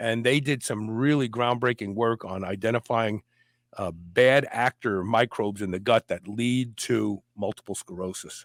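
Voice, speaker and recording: Recorded dry and close with no echo, a man in a normal speaking voice talks at a moderate pace with ordinary pitch variation. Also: medium pitch for a man, very clean recording, silent background. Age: 60s. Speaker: podcast host. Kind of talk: interview chat.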